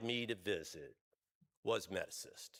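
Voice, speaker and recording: The voice is loud with a bright, sharp tone on a very clean recording with a silent background. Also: man. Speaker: health insurance executive, award recipient. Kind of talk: award acceptance speech. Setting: stage at a luncheon event. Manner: hesitant, many fillers.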